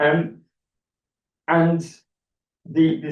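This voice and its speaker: The speaker is a man. He has a northern English accent. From northern England. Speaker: academic author. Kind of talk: academic talk. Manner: repetitive false starts, many fillers.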